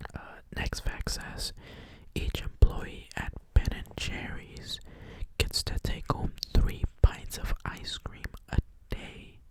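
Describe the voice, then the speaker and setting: Whispering at a very slow pace with long, frequent pauses, the speaker is heard over noticeable background noise. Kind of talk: ASMR soft-spoken fact reading; casual talk to camera. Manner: soft-spoken.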